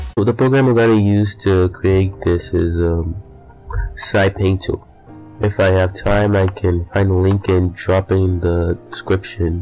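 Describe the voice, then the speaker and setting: Music plays in the background as a man speaks in a very deep, low pitch. His pace is fairly slow and his intonation fairly even. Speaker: digital art tutorial maker. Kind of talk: casual tutorial narration. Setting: poor home microphone.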